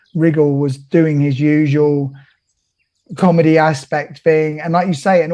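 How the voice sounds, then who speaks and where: Speaking fairly slowly with a Cockney accent, a man uses a fairly high pitch and a dark, mellow tone, his intonation monotone and flat. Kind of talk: casual, conversational.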